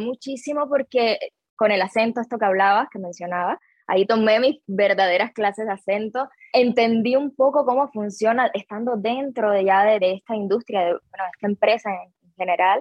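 This woman's voice sits at a fairly high pitch with ordinary pitch variation. She keeps a moderate pace. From Cuba. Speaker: actress. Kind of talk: interview.

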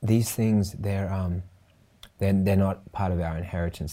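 A man talks at a moderate pace in a dark, mellow tone. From Australia. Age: 30s. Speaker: podcast host. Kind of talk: interview.

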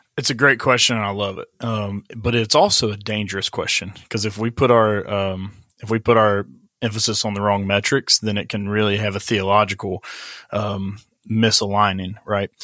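Fairly low-pitched and bright, sharp in tone, a man speaks in an Appalachian accent at a moderate pace. His intonation is monotone and flat, on a very clean recording with a silent background. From West Virginia. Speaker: pastor. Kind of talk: casual interview.

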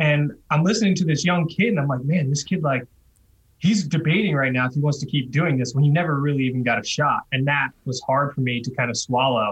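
Somewhat breathy and fairly high-pitched, a man with an American accent talks at a fairly quick pace with ordinary pitch variation. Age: 30s. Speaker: retired pro cyclist. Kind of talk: podcast interview.

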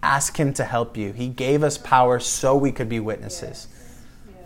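In a room with audible echo, a man with an American accent speaks at a medium pitch with ordinary pitch variation. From West Michigan, US Midwest. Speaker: pastor. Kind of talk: sermon. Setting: home gathering.

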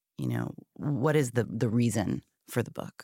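A woman speaks with vocal fry. The recording is very clean, with a silent background and a dry, close sound with no echo. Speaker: book publisher and interviewer. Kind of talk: interview conversation.

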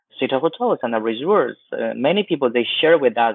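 The speaker is a man with a Chinese accent. He keeps a moderate pace. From West China, Chengdu. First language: Mandarin Chinese. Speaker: travel agency founder. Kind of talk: interview. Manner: halting, many fillers.

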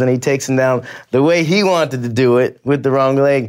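A man with an unremarkable speaking voice talks at a fairly quick pace, fairly high in pitch, with fairly even intonation. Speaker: translator and coach.

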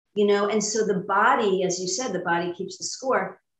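A woman speaks with an American accent at a moderate pace, her medium pitch held in fairly even intonation. Room echo is audible. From New York, Long Island. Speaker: spiritual coach and EFT practitioner. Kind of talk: interview testimony.

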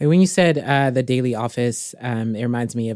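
With an American accent, a woman speaks at a moderate pace in a very deep, low pitch and a dark, mellow tone, using ordinary pitch variation on a very clean recording with a silent background. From US Midwest. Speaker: podcast host, Bible teacher. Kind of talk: casual faith conversation.

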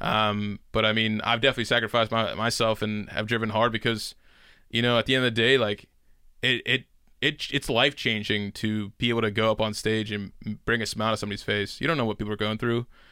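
A man with an American accent speaks at a very fast pace in a medium pitch, his tone bright and sharp. His intonation is monotone and flat, on a very clean recording with a silent background. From Pittsburgh, US. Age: 20s. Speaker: stand-up comedian. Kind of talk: casual chat.

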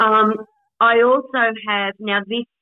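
A woman with an Australian accent. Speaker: podcast co-host with FND. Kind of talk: casual chat. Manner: halting.

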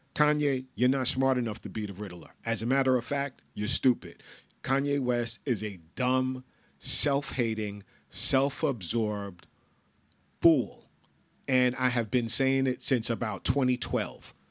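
The recording is very clean, with a silent background. A man speaks at medium pitch in a New York accent. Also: ordinary pitch variation, fairly slow pace. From New York, the Bronx. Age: 50s. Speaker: podcast host. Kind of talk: casual monologue. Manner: animated.

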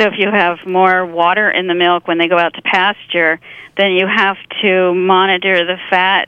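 The woman talks at a moderate pace in an American accent, at a medium pitch. Her intonation is monotone and flat. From Pennsylvania. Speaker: literary agent and farmer. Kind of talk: casual chat.

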